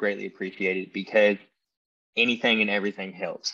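This man speaks with a Tennessee accent at a fairly quick pace, his fairly low pitch delivered in a monotone, flat intonation with a bright, sharp tone against a quiet background. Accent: Southern American (Tennessee). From US South, Tennessee. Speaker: podcast host appearing as guest. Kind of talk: casual interview chat.

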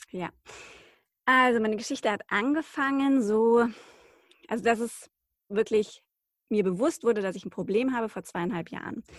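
Pausing long and often, a woman speaks at a moderate pace and a fairly high pitch, with ordinary pitch variation and big swings in loudness, in a very clean recording with a silent background. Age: 30s. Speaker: journalist and podcaster. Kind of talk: interview about personal illness story.

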